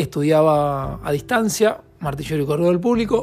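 Music plays in the background. A man speaks at a fairly high pitch with ordinary pitch variation. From Argentina, Casilda, Santa Fe. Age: 30s. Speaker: podcast co-host. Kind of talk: casual chat.

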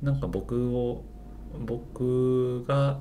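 A man's dark, mellow tone amid audible room echo. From Japan, Osaka (Amagasaki). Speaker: healer. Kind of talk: casual interview chat.

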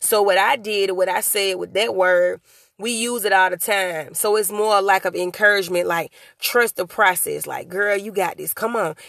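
Speaking at a moderate pace with fairly even intonation, a woman of medium pitch has a plain, everyday voice. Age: young. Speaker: motivational podcast host and author. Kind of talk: solo motivational talk. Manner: casual, conversational.

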